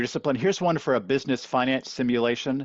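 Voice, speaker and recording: A man is speaking. His pace is very fast. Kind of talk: webinar presentation.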